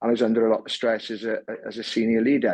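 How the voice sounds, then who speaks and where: Against a quiet background, a man with a fairly low pitch talks at a very fast pace. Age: 60s. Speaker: former sports and corporate leader. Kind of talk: interview. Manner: halting, many repeated words.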